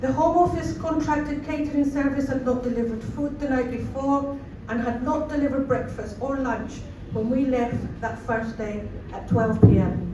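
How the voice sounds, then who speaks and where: A woman with a Scottish accent speaks at a high pitch with fairly even intonation. Noticeable background noise and audible room echo fill the recording. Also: moderate pace. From Scotland, Cowdenbeath (Fife) after early childhood in Chile. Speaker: refugee support worker. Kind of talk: rally speech.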